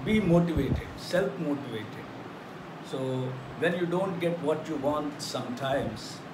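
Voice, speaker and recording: Noticeable noise sits in the background. A man talks fairly slowly over it. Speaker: teacher. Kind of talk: lecture. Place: classroom. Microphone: phone near.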